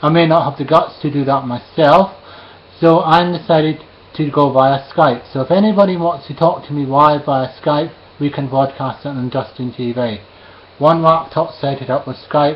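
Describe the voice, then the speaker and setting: With a Scottish accent, a man speaks at a moderate pace in a fairly high pitch with fairly even intonation. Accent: Scottish, slightly toned down. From Scotland, Edinburgh. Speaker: live streamer. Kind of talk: casual monologue to camera. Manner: hesitant, with fillers.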